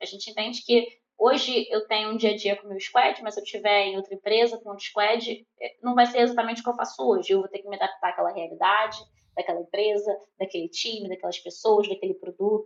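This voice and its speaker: Very fast and fairly even in intonation, a woman's speech shows big swings in loudness. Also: fairly high pitch for a woman. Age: 30s. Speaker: product owner. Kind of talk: interview.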